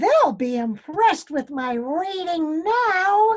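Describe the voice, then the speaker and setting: A woman uses a put-on character voice at an extremely high pitch. She speaks at a very slow pace with very wide pitch swings. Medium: read story.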